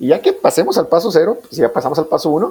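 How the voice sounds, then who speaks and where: A man with a northern Mexican accent talks at a very fast pace and a high pitch. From Mexico, Nuevo Laredo, Tamaulipas. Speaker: business coordinator and entrepreneurship adviser. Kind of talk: casual interview chat.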